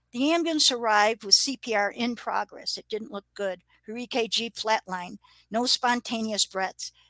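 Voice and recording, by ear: Against a quiet background, the text is given as reading aloud in a natural voice with ordinary pitch variation.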